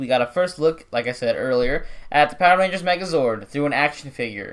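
Moderately paced male speech, fairly high in pitch, in an ordinary speaking voice. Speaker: podcast host. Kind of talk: casual chat.

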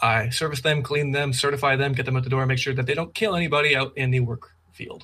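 The delivery is very fast, with hardly any pauses. Intonation stays fairly even. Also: man, fairly high pitch for a man. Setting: video call. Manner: fast talker.

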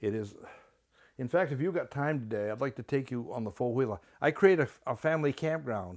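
A man with a Maine accent at a medium pitch, lively intonation and a fairly quick pace, on a very clean recording with a silent background. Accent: Maine (New England). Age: 80s+. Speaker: retired park director. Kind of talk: interview. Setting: at guest's home.

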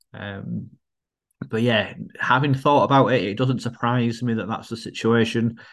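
Against a quiet background, a man with a northern English accent talks at a moderate pace, his pitch medium and his intonation fairly even. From northern England. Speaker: podcast co-host. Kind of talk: casual chat.

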